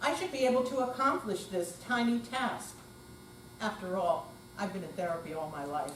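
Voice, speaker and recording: Through noticeable background noise, a woman's voice makes very wide pitch swings. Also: medium pitch for a woman, moderate pace. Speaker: amateur actor. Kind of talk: readers theater performance.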